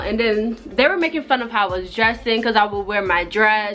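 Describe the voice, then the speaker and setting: A woman speaking with ordinary pitch variation over music in the background. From Jamaica. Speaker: vlogger. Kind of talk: storytime monologue. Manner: casual, rambling-paced.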